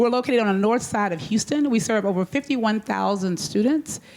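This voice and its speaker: A woman talks at a very fast pace with an American accent. Her intonation is lively. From Texas. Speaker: school superintendent. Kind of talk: panel discussion.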